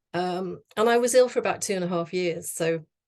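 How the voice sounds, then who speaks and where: A woman speaks at a moderate pace with a fairly low pitch and ordinary pitch variation. The background is quiet. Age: 60s. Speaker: motivational speaker. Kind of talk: personal talk to audience. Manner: speeds up when nervous; halting.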